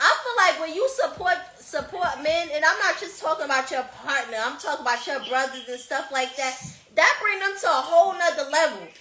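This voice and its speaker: In a high pitch, a woman speaks in a raised, projected voice, animated and fairly quick, her intonation lively. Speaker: podcast host. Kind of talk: casual chat. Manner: loud.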